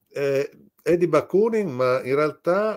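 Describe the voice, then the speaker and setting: A man speaks at a very slow pace over a quiet background. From Italy. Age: 60s. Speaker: novelist; guest. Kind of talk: interview. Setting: video call. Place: home room.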